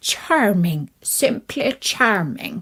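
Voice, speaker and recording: A woman puts on a raspy character voice at a fairly high pitch. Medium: read story. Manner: suave, genteel.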